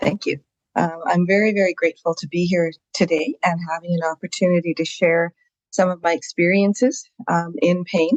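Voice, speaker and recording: The speaker talks at a moderate pace with ordinary pitch variation and a Canadian accent. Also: woman, fairly low pitch for a woman. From Canada, Saskatchewan. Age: 60s. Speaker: physician and chronic pain patient. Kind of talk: podcast interview. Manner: hesitant, many fillers.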